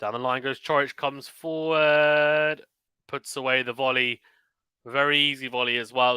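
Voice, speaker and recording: A man with a British accent has a medium pitch and a bright, sharp tone. The sound is dry and close, without echo. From UK. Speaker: tennis commentator and streamer. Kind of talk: live commentary. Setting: live stream. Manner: fast; clear.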